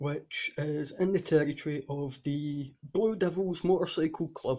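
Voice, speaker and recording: At a very slow pace, a man with a dark, mellow tone and a fairly high pitch speaks in a somewhat breathy way, with ordinary pitch variation. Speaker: tabletop game master. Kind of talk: game session recap narration. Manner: stuttering.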